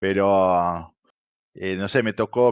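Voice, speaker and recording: Against a quiet background, a man speaks with an Argentine accent. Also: dry, close sound with no echo. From Brazil (São Paulo), lived in Buenos Aires from age 9 to 16. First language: Portuguese (speaking Spanish). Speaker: poker presenter and content creator. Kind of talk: interview. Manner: animated, many hesitations.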